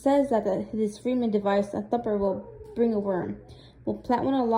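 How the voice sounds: The speaker has a natural reading voice.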